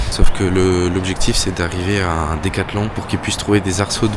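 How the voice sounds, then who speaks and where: A man talks at a very fast pace. His pitch is very deep and low, and there is noticeable background noise. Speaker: travel vlogger. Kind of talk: casual vlog. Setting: outdoors. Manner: whispering.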